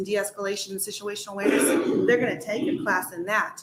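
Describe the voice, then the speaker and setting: Very fast and fairly high-pitched, a woman speaks with ordinary pitch variation. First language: Spanish. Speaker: firearms instructor and advocacy group president. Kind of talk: legislative hearing testimony. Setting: committee hearing room.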